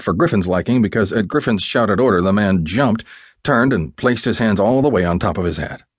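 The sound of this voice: The voice heard here is an unforced reading voice.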